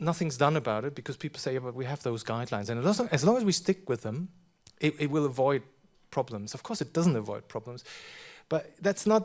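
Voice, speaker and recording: On a very clean recording with a silent background, a man speaks fairly quickly in a German accent at a fairly high pitch. His intonation is lively, and he takes long, frequent pauses. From Germany. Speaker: professor. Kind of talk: conference talk Q&A. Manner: halting, many repetitions.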